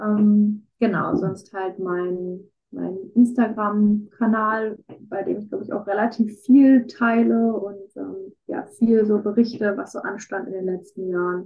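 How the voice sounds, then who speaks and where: With big swings in loudness, a woman of medium pitch speaks at a very slow pace and with fairly even intonation. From Ruhr area, Germany. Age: 20s. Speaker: student with chronic illnesses. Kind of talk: interview about personal illness.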